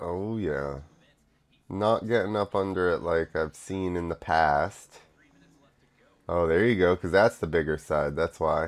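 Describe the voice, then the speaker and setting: Very deep and low, a man's voice moves at a fairly slow pace with ordinary pitch variation and long, frequent pauses, recorded very cleanly with a silent background. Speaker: podcaster reacting to motocross videos. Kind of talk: live sports commentary, reacting to a video. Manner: animated, excitable, spontaneous play-by-play; casual, filler-heavy, stop-start.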